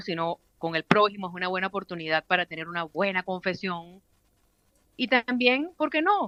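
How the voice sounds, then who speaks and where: A woman speaks in a normal speaking voice. Her intonation is lively, and her pace is moderate. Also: medium pitch for a woman. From Venezuela. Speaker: radio announcer. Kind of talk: interview answer. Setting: phone line.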